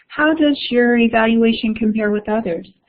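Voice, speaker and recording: Her voice is somewhat breathy. The woman keeps to a moderate pace. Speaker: education workshop presenter. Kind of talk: online webinar presentation.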